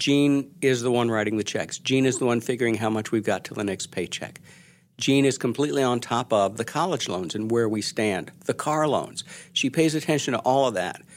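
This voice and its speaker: A man speaks in a plain, everyday voice at a medium pitch. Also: ordinary pitch variation, fairly quick pace, very clean recording, silent background. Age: 60s. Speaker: journalist and author. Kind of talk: interview.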